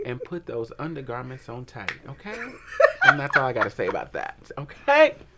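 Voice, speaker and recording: Big swings in loudness mark a man's speech over noticeable background noise. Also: moderate pace. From Detroit, Michigan. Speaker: talk show co-host. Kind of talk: casual chat. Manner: animated.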